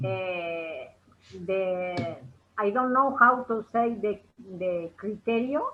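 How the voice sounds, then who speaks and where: With a Spanish accent, a woman at medium pitch speaks at a very slow pace, using lively intonation and long, frequent pauses. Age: 60s. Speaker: English learner. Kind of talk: language class conversation. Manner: halting.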